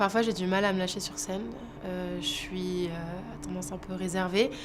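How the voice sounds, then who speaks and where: There is audible room echo and noticeable background noise. A woman speaks at a moderate pace. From France, Lyon area. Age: 20s. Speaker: singing contestant. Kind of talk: interview. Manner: hesitant, many fillers.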